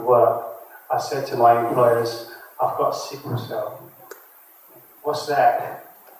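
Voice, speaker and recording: A man speaking at a fairly slow pace amid noticeable background noise and audible room echo. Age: 50s. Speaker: sickle cell patient. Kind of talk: panel discussion.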